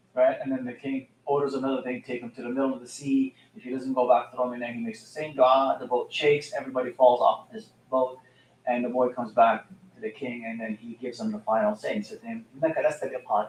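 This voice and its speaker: A man talks at a very fast pace with lively intonation. His loudness swings widely. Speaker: Islamic teacher. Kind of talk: religious talk. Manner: halting. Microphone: mic moved closer after being too quiet.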